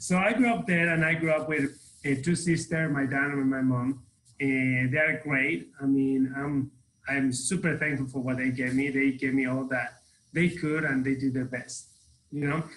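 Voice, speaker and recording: With a Mexican accent, a man speaks at a moderate pace in a fairly high pitch with ordinary pitch variation. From Mexico City, Mexico. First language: Spanish. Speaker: real estate team leader. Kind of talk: podcast interview.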